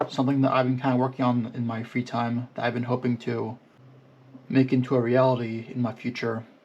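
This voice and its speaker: Moving at a fairly quick pace, a man uses an ordinary speaking voice at medium pitch. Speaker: YouTuber. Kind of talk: casual vlog monologue. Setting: recording on a GoPro camera.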